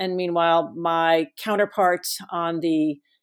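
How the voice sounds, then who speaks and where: The speaker is a woman with a fairly low pitch. Her intonation is fairly even. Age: 50s. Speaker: author and former press secretary. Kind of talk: interview. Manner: halting, many fillers.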